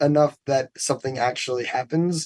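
Using a plain, everyday voice with an American accent, a man speaks at a moderate pace and a fairly high pitch with fairly even intonation. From New York City. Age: 30s. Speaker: musician, band member. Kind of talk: casual interview chat. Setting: tour bus, video call.

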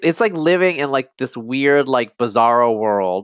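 With an American accent, a man speaks at a moderate pace in an ordinary speaking voice. His intonation is lively. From US, upstate New York and eastern Oregon. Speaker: geneticist and cultural commentator. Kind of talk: interview conversation.

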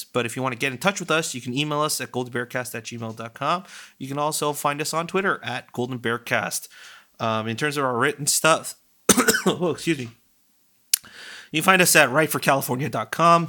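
Hoarse and fairly high-pitched, a man does a put-on character voice at a moderate pace.

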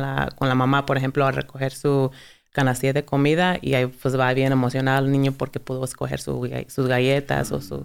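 A woman speaks with a very deep, low pitch and monotone, flat intonation. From US South (Dalton, Georgia). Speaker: food bank benefits specialist. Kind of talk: interview.

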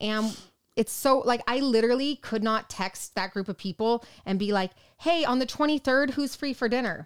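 A woman speaks loudly at a high pitch. Her pitch variation is ordinary. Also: moderate pace. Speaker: nurse podcast co-host. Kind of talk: casual chat.

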